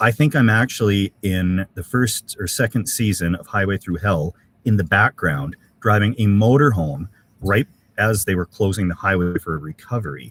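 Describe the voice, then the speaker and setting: The voice is somewhat breathy, with a Canadian accent. It comes at a moderate pace, with a dry, close sound and no echo. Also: man, fairly low pitch for a man. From Canada, Alberta (Edmonton). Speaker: camping YouTuber. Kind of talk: live stream chat reading comments. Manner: casual, halting with many fillers.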